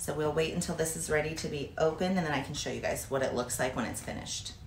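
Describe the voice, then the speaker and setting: With noticeable background noise and audible room echo, a woman with a very deep, low pitch speaks at a very fast pace and fairly even intonation. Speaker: fitness vlogger, bodybuilder. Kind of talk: cooking tutorial. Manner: casual, chatty.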